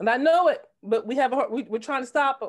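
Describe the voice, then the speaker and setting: A woman with an American accent speaks at a high pitch with lively intonation. The background is quiet. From New Jersey. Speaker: political candidate. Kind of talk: discussion comment. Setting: video call. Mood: troubled, earnest. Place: home room. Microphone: video call.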